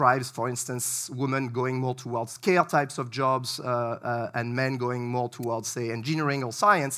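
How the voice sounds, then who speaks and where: A man with a French accent, medium pitch, a bright, sharp tone and a moderate pace. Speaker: researcher. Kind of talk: lecture. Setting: stage with audience. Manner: hesitant, many fillers.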